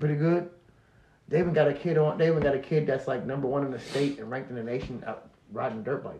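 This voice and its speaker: Over noticeable background noise, a man talks very fast at a fairly high pitch with ordinary pitch variation. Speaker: company founder and podcast guest. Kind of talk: casual chat. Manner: repetitive, halting.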